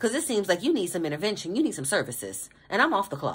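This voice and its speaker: A woman talks at a very fast pace with very wide pitch swings. Her voice is medium in pitch and somewhat breathy. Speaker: tarot reader. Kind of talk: tarot reading. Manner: animated.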